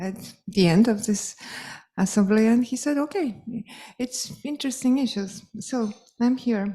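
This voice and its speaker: Speaking with a Polish accent at a fairly slow pace, a woman with a fairly high pitch and ordinary pitch variation uses a dark, mellow, somewhat breathy tone and long, frequent pauses. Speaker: piano professor. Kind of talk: closing speech. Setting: stage with audience. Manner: halting.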